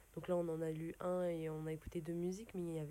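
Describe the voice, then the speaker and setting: A woman speaks fairly quickly with a dark, mellow tone, a fairly low pitch, and monotone, flat intonation. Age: young. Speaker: young reporter. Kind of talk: casual radio chat.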